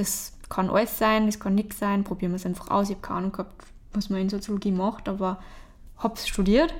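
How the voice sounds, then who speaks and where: The woman talks very fast at a medium pitch, her intonation fairly even. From Austria, Traunsee area (Upper Austria). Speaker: painter. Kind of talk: interview. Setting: artist's studio.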